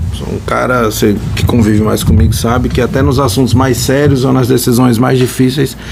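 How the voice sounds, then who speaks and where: Noticeable background noise runs under talking kept at a moderate pace. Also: man. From Brazil, Natal (Rio Grande do Norte), moved from São Paulo at ten. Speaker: orthopedic surgeon, podcast co-host. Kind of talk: casual podcast chat.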